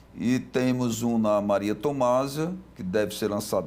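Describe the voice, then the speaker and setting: This man has an ordinary speaking voice with a fairly low pitch. His pitch variation is ordinary. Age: 60s. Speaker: construction company president. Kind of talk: TV interview. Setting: TV studio.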